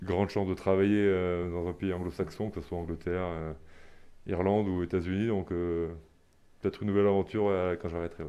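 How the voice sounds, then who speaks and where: Over a quiet background, a man with a very deep, low, dark and mellow voice talks fairly quickly in a flat monotone, leaving long, frequent pauses. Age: 30s. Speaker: professional rugby player. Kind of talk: sports interview. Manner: halting, many repetitions and hesitations.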